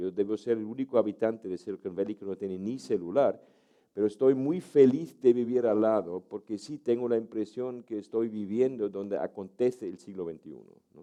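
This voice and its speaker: With a dark, mellow tone, a man speaks at a moderate pace, his loudness swinging widely and his pitch varying in an ordinary way. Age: 70s. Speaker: university professor and author. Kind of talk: talk. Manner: hesitant, many fillers.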